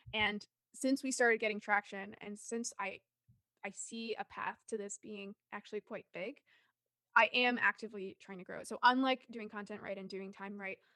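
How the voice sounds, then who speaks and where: Recorded dry and close with no echo, a woman speaks in a bright, sharp, fairly high voice, her intonation fairly even but her loudness swinging widely. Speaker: marketer and author. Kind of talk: podcast interview. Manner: fast.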